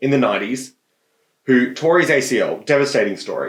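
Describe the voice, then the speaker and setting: The pace here is moderate. A man talks with an Australian accent. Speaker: podcast co-host. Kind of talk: casual chat.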